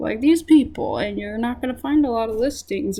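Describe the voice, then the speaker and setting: In a dark, mellow tone, a woman speaks at a fairly high pitch. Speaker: trading card video creator. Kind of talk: informal presentation. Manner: slow; halting. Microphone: low quality mic.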